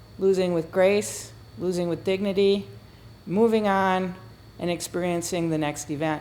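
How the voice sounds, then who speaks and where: A woman with a fairly low pitch talks at a moderate pace, her intonation fairly even. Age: 60s. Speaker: retired business executive and former athlete. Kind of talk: testimonial to camera.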